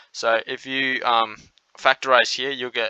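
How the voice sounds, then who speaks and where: In an Australian accent, the voice comes across bright and sharp with a monotone, flat delivery, and the sound is dry and close with no echo. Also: man. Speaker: maths tutor. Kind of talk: tutorial.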